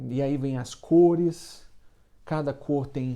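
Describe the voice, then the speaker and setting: Male speech in a dark, mellow tone, with ordinary variation in pitch. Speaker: baker and online business coach. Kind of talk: casual motivational talk to camera. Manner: halting, with frequent filler repetitions.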